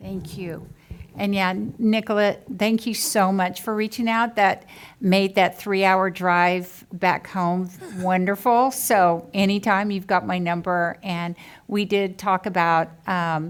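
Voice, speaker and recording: A woman with an American accent, medium pitch, fairly even intonation and a very slow pace. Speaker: school board trustee and educator. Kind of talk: campaign speech. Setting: public board meeting.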